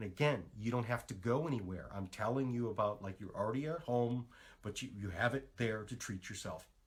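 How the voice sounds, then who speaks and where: A man speaks at a medium pitch in an animated tone, his voice somewhat breathy. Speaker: natural health practitioner. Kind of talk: live stream talk. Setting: Facebook live stream. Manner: fast.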